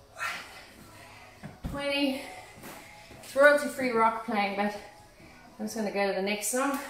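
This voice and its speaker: Music plays in the background as a woman speaks at a very slow pace with audible room echo. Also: ordinary pitch variation. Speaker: fitness instructor. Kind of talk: workout instruction. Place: gym. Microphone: phone near.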